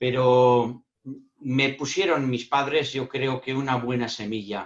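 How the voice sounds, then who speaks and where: A man talks at a very slow pace in a medium pitch. His intonation stays fairly even. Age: 60s. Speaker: speaker on emotional intelligence. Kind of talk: panel Q&A answer. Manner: halting, repeats words.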